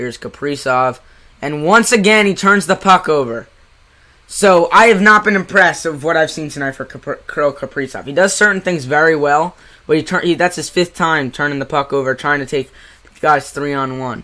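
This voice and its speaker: A man with a New Jersey accent speaks in an animated tone at a fairly high pitch. His pace is moderate, with ordinary pitch variation. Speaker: amateur hockey play-by-play streamer. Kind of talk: live commentary. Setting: live stream.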